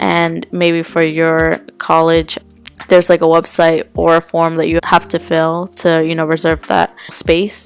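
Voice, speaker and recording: Music plays behind a woman with a fairly low pitch. She speaks at a fairly slow pace with fairly even intonation. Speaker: college student and vlogger. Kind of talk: tutorial. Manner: monotone; casual, slangy.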